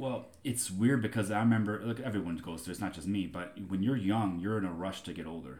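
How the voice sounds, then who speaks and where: With a plain, everyday voice, a man talks at a fairly quick pace and fairly low pitch, using lively intonation and hardly any pauses. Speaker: guest, family member. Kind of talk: casual chat.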